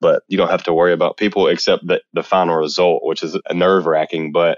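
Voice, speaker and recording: The man's speed is moderate. He talks with a Southern US accent. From US South, Mississippi. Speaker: photographer. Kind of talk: interview.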